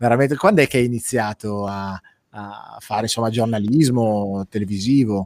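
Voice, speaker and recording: Speaking at a moderate pace with hardly any pauses, a man with a medium pitch uses ordinary pitch variation in a dry, close recording with no echo. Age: middle-aged. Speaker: web show host and life coach. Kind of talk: casual interview chat.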